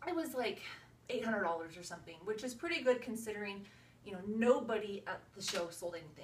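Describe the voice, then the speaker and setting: Lively in intonation and very fast, a woman speaks in a fairly high pitch amid audible room echo. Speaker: direct sales consultant. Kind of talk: video tutorial. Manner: casual, filler-heavy.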